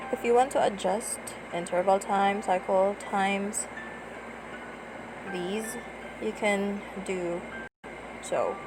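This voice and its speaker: Quiet and very slow, a woman of medium pitch speaks with fairly even intonation and long, frequent pauses against noticeable background noise. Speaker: tutorial vlogger. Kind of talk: screen-recorded app tutorial. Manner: lowered, quiet voice.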